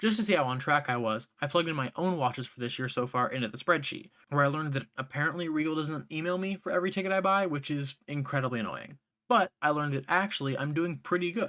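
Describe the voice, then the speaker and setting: In a very clean recording with a silent background, a man talks very fast in a fairly high pitch, his tone bright and sharp with ordinary pitch variation. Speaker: YouTuber. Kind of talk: scripted video essay. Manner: fast at times.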